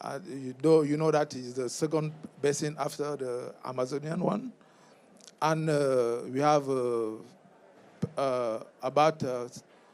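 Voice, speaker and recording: Pausing long and often, a man speaks at a fairly slow pace in a fairly high voice with fairly even intonation. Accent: French. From Cameroon, French-speaking part. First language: French. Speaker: member of parliament. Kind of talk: panel talk. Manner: halting, hesitant English.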